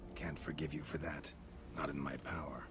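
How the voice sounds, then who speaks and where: Amid loud background noise, a man uses a put-on character voice at a moderate pace. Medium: video game. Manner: terse, dry, low-key.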